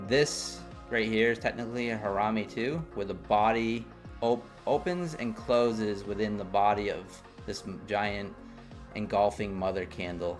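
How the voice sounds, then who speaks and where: Music plays in the background. Over it, a man speaks in a fairly low pitch. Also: ordinary pitch variation, moderate pace. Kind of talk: casual, explaining trading charts.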